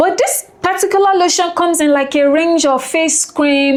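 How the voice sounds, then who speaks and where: A woman talks at a moderate pace in an animated tone. Noticeable background noise runs behind her. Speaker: beauty and skincare YouTuber. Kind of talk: product review vlog. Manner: soft-spoken.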